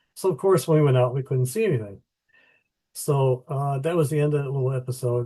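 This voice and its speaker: A dark, mellow, somewhat breathy voice with fairly even intonation against a quiet background. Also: man. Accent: American. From US Midwest (Illinois). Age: 70s. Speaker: author. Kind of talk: interview.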